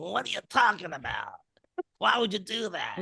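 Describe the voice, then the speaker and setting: In a put-on character voice that is raspy and fairly high-pitched, the speaker moves at a moderate pace. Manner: incredulous, questioning.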